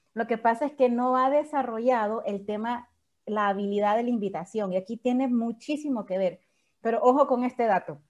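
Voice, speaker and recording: A woman with a plain, everyday voice, fairly high pitch, ordinary pitch variation and a fairly quick pace against a quiet background. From El Salvador, San Salvador. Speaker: network marketing leader and surgeon. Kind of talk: training talk.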